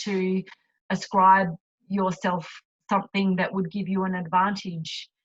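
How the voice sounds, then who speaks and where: A woman's medium-pitched voice moves at a moderate pace. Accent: Australian. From Australia, Adelaide. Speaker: retired Olympic rower and cyclist. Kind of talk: interview. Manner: halting, many fillers.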